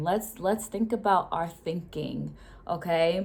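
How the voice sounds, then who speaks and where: A fairly slow pace with ordinary pitch variation. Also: woman. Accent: slight Rhode Island. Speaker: educator and vlogger. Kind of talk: casual talk-to-camera explainer. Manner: hesitant, many fillers and repetitions.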